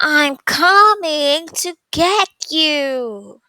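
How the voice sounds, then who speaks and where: A woman puts on a character voice that is squeaky and growling, pitched high. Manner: menacing, playful, hunting.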